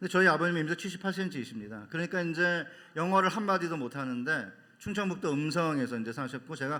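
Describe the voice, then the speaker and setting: Talking at a fairly quick pace, a man uses a high, bright, sharp voice with lively intonation. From Seoul, South Korea (born in North Chungcheong). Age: 60s. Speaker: seminary professor and pastor. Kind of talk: sermon.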